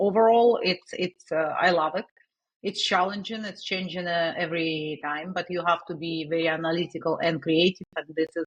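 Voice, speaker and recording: Fairly even intonation in a Russian accent. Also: woman. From Russia, Saint Petersburg. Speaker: digital marketing agency owner. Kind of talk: interview. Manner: halting, many fillers.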